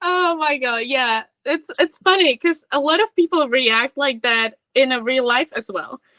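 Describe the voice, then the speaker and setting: Her voice is raised and projected, high-pitched, bright and sharp, with lively intonation and hardly any pauses. The woman speaks at a fairly slow pace in a dry, close sound with no echo. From Czech Republic. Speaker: fan account admin. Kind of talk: casual chat.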